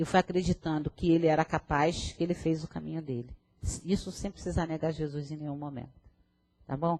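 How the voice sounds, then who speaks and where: A woman speaks with a very deep, low pitch and a dark, mellow tone, her intonation fairly even. The sound is dry and close with no echo, and her pace is fairly quick. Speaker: spiritist lecturer. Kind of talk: lecture. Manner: fast.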